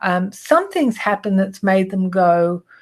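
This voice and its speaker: Against a quiet background, a woman talks at a moderate pace in a somewhat breathy voice. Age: 60s. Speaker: image consulting business owner and trainer. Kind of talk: presentation. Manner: casual, with frequent fillers.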